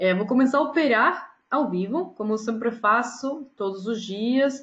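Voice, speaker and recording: A woman speaks at a fairly slow pace with a Spanish accent against a quiet background. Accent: Spanish-accented Portuguese (portunhol). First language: Spanish (speaking Portuguese). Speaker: day trader and trading educator. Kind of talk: casual announcement to viewers. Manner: halting, with fillers and self-corrections.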